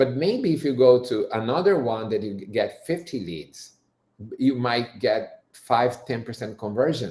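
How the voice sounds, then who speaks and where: This man's voice has a dark, mellow tone at a medium pitch, somewhat breathy. He talks at a fairly slow pace with lively intonation. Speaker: company presenter. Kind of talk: webinar presentation. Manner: hesitant, many fillers and restarts.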